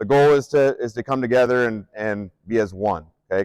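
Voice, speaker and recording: A man with a Midwestern US accent at a medium pitch and fairly quick pace, ordinary pitch variation, in a dry, close sound with no echo. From Nebraska, Omaha. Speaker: strength coach and athletic director. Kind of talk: conference presentation. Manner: hesitant, many fillers; loud projecting coaching voice.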